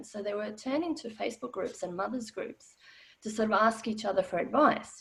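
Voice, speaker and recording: A woman speaks with an Australian accent in a somewhat breathy voice. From former Yugoslavia. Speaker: financial educator. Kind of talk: webinar talk. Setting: online webinar.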